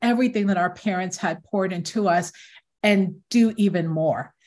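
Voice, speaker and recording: Somewhat breathy, a woman with an American accent speaks with ordinary pitch variation in a very clean recording over a silent background. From Newark, New Jersey. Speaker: tech company founder. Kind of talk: interview.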